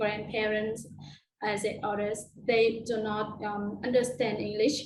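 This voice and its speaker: At a very slow pace, a woman with a Vietnamese accent and a fairly high pitch speaks amid audible room echo. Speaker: biology teacher. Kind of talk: conference Q&A answer. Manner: halting, many fillers.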